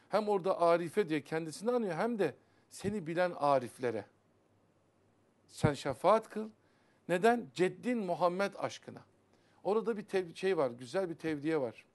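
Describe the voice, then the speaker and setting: Lively intonation carries this fairly slow delivery, broken by long, frequent pauses. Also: man, high pitch for a man. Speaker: Sufi religious teacher. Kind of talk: religious TV talk on Sufi poetry. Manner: animated. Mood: earnest, admonishing. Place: studio.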